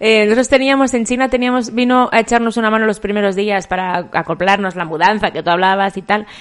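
A woman with a fairly high pitch and ordinary pitch variation speaks at a very fast pace with hardly any pauses. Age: 40s. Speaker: podcast co-host. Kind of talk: casual chat.

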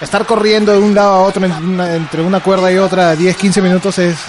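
Against noticeable background noise, a man with a high pitch speaks at a very fast pace with fairly even intonation. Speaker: wrestling commentator. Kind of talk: casual interview.

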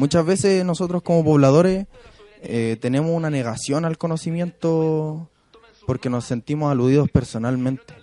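A man with an ordinary speaking voice talks at a moderate pace, the sound dry and close with no echo. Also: fairly high pitch for a man, ordinary pitch variation. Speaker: community activist. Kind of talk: radio interview.

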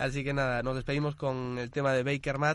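A man talks fairly quickly at medium pitch. He has a plain, everyday voice. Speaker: radio host. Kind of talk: casual chat.

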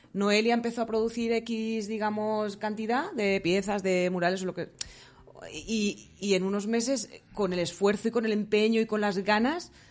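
The speaker uses a normal speaking voice at a moderate pace. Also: woman. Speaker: psychologist. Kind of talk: interview.

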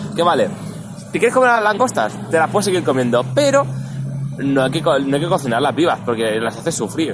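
A man with a fairly high pitch talks at a fairly quick pace with lively intonation over noticeable background noise. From Barcelona, Spain. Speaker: podcast host. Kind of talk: casual chat. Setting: recorded in person outdoors near an event venue.

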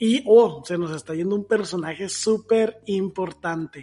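A man's high-pitched voice with a Mexican accent, dark and mellow in tone, at a fairly slow pace with ordinary pitch variation. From Mexico. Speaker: podcast co-host. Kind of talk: casual chat.

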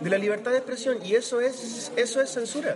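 With a Chilean accent, a man speaks at an extremely high pitch and a moderate pace over noticeable background noise. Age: 30s. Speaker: podcast co-host. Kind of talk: casual chat.

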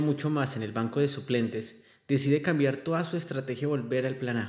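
This man has a fairly high pitch and keeps a moderate pace. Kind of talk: narrated monologue. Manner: impassioned.

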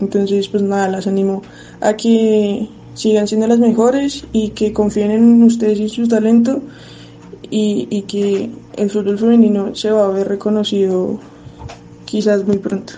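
A woman's fairly high voice, flat and monotone, at a fairly slow pace over noticeable background noise. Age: 20s. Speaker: footballer. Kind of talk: recorded testimony.

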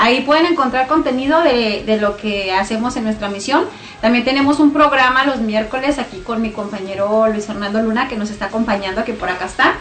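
Amid noticeable background noise, a woman talks at a fairly quick pace with hardly any pauses, using a fairly high pitch and ordinary pitch variation. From Mexico, Chihuahua (Namiquipa). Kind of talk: religious testimony.

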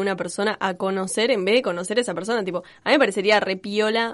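A woman rushes along at a very fast pace, her medium pitch showing ordinary variation. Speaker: podcast host. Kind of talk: casual chat.

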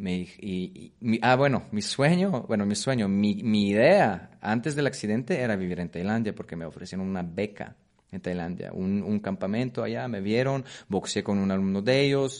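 A man with a Polish accent speaks at a fairly low pitch with lively intonation against a quiet background. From Poland. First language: Polish (speaking Spanish). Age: 30s. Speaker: Muay Thai coach. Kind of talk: interview. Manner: halting, repetitive.

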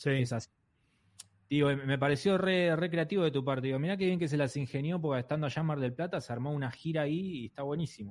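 This man speaks at a very fast pace in a fairly high pitch. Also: ordinary pitch variation. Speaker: comedian and podcast host. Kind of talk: casual chat.

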